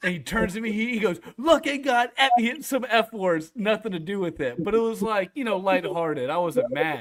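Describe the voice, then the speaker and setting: A man speaks loudly at a high pitch, animated and with lively intonation. His fairly quick delivery has hardly any pauses. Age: 30s. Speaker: sports podcaster. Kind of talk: casual chat. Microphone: echo from host's speaker.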